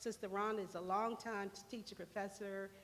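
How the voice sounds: The tone is fairly bright and the intonation fairly even. Delivery moves at a moderate pace. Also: woman, medium pitch for a woman.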